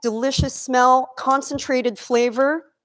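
A woman's high, animated voice over a quiet background. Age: 50s. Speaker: chef and nutrition coach; nutrition coach. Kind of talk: cooking demonstration. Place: kitchen.

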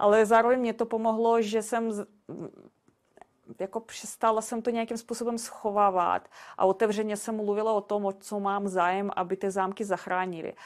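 Speaking at a moderate pace in a fairly high voice, a woman with a non-native accent keeps a monotone, flat intonation in a very clean recording with a silent background. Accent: foreign accent in Czech. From Belarus. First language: Russian (speaking Czech). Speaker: castle sales agent. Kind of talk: podcast interview. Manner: halting, with fillers and repetitions.

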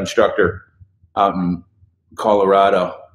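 A man is heard speaking with audible room echo around his voice. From Idaho. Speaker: voice coach. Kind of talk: live stream Q&A. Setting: Facebook live video. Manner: casual, animated. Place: studio.

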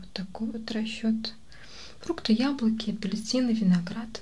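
A soft-spoken voice with a gentle tone. It moves at a fairly slow pace with ordinary pitch variation. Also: woman. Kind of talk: ASMR role-play dialogue. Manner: soft-spoken, gentle ASMR voice.

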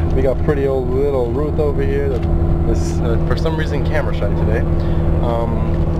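A man talks fairly quickly while loud background noise carries on around him. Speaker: travel vlogger. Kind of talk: casual vlog chat. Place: bus. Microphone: phone near.

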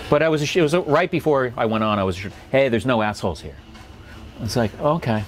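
Over light background noise, a man speaks at a fairly quick pace with lively intonation and long, frequent pauses. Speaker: stand-up comedian. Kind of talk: interview answer. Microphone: lapel.

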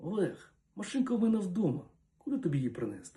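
A man whispers in a put-on character voice that sounds shaky. He rushes along at a very fast pace. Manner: whispering, anxious.

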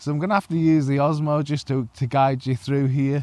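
A man speaks in a dry sound with no echo. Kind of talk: casual vlog chat. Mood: cheerful despite setbacks. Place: waterside. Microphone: phone near.

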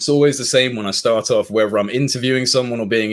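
The man's pitch variation is ordinary. He speaks very fast. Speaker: UFO researcher and interviewer; interview guest. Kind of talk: interview. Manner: hesitant. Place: home room.

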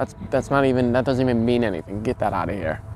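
A man's voice shows ordinary pitch variation in a dry sound with no echo and light background noise. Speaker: comedic character in mock interview. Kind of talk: interview answer. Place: garden. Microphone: lapel.

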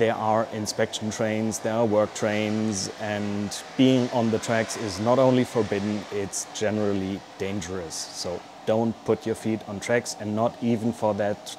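Over noticeable background noise, a man speaks at a moderate pace. His pitch is fairly low and his intonation flat and monotone. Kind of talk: casual explainer vlog. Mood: dry humorous, cautionary. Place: workshop. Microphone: lapel.

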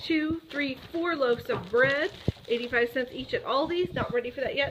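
Over noticeable background noise, a woman with an American accent speaks in a high pitch at a fairly slow pace. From Ohio, US Midwest. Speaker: vlogger. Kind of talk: casual vlog talk.

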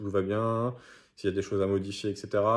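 Against a quiet background, a man talks at a moderate pace with a fairly low pitch. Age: 20s. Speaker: gym member and judo instructor; judo instructor. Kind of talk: testimonial. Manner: hesitant with frequent fillers. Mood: calm, positive. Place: home room. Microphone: phone near.

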